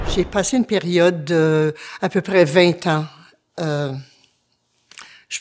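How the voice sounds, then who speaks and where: At a very slow pace, a woman speaks with a fairly low pitch. Her pitch varies in an ordinary way. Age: 70s. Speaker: churchgoer giving faith testimony. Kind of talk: testimony. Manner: halting, many hesitations.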